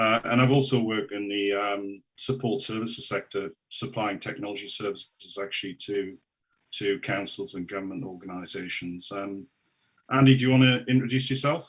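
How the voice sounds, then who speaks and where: The speaker talks at a moderate pace with a Geordie accent and ordinary pitch variation. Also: man, fairly low pitch for a man. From northern England, Newcastle upon Tyne. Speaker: local government consultant. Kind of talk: council presentation. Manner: halting, many fillers.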